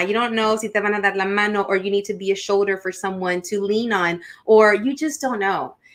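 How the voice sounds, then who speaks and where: On a very clean recording with a silent background, a woman with a Spanish accent speaks at a moderate pace in a bright, sharp tone, with a fairly high pitch and ordinary pitch variation. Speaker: podcast host. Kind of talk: casual interview. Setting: live stream.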